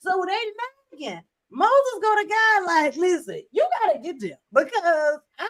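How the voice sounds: The voice has a fairly bright tone and lively intonation. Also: woman.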